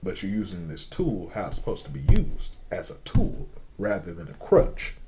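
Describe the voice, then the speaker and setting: A man at a moderate pace with big swings in loudness and audible room echo. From Indiana, US Midwest. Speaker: rapper and singer. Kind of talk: casual interview. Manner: animated.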